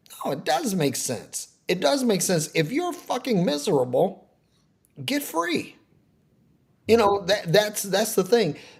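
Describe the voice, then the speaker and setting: A man with high pitch, very wide pitch swings, a fairly slow pace and long, frequent pauses. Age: 60s. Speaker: preacher. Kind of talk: casual conversation about life. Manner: halting, many repeated words.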